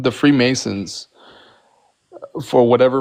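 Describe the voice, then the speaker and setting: A man with a non-native accent keeps a moderate pace as he speaks. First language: not English. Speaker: Freemason. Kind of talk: heated debate. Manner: halting.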